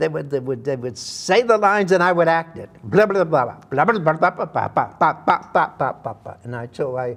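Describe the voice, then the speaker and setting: Speaking in a Massachusetts accent, a man uses a fairly high pitch that swings very widely. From Massachusetts, Worcester. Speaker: actor. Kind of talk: interview storytelling.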